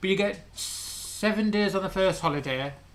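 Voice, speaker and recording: British-accented male speech, its pitch varying in an ordinary way. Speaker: YouTube vanlife channel co-host. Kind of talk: casual live-stream chat.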